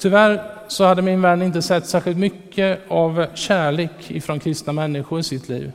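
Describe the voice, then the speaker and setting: Over noticeable background noise, a man with a high pitch talks with fairly even intonation and hardly any pauses. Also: moderate pace. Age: 40s. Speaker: preacher. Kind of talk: sermon.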